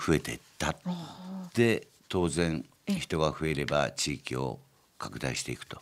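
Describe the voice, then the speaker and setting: Long, frequent pauses break up the speech of a man whose very deep, low voice carries lively intonation. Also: fairly slow pace, big swings in loudness. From Gunma, Japan. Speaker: company chairman. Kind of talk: interview. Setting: studio.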